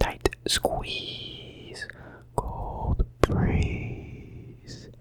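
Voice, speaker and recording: Over noticeable background noise, a man is whispering. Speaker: college student. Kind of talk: ASMR whispering video. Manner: whispered; relaxing, soft.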